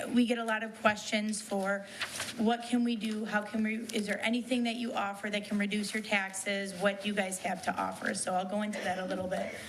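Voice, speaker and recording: Speaking at a fairly quick pace, a woman keeps a medium pitch and a flat, monotone intonation. There is audible room echo and noticeable background noise. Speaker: township assessor. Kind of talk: departmental report. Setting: township board meeting room. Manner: loud.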